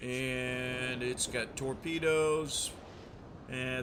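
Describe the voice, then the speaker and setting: A man talks in a relaxed tone at medium pitch with fairly even intonation. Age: 60s. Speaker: gaming streamer, Navy veteran. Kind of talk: gameplay commentary. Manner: hesitant, many fillers; relaxed, casual.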